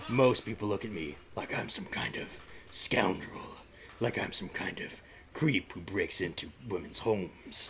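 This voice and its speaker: Putting on a character voice, a man sounds raspy and fairly low-pitched, with lively intonation over clear background noise. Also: moderate pace. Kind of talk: hammy melodrama table read. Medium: stage play. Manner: smooth, calls everyone darling, melodramatic.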